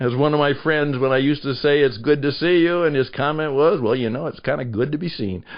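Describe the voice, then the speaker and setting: Fairly quick delivery in a normal speaking voice, pitch varying in an ordinary way. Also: man, fairly high pitch for a man. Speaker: podcast producer and host. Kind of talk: podcast interview host talk.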